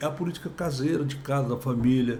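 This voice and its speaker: A man's somewhat breathy, fairly high voice at a moderate pace, with audible room echo. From Brazil, Goiás/Tocantins. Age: 60s. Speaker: politician, former state governor. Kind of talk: podcast interview.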